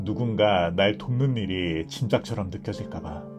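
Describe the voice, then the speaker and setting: Against background music, a man with fairly low pitch talks at a fairly slow pace with lively intonation. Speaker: book reader / ASMR narrator. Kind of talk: audiobook reading of essays. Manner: soft-spoken, calm.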